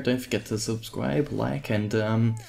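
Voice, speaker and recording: Quietly, a man talks in a fairly low voice with an Australian accent. Noticeable background noise sits behind him. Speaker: gaming YouTuber. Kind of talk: gameplay commentary. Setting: at home. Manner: quiet, subdued.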